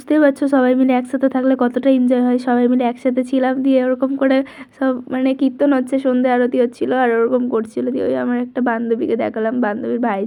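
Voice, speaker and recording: Her voice is high-pitched with a dark, mellow tone, and the woman keeps a monotone, flat intonation. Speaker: vlogger. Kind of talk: vlog voiceover narration. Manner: casual, chatty.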